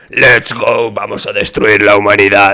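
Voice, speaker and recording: The speaker puts on a raspy character voice. The pace is fairly slow. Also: man. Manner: menacing.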